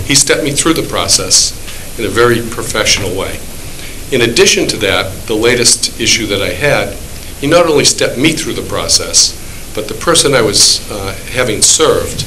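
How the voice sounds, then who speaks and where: A man's voice is heard with audible room echo. Noticeable background noise runs underneath. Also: moderate pace. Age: 60s. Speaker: small business owner and landlord speaking at public meeting. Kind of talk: public comment at town board meeting.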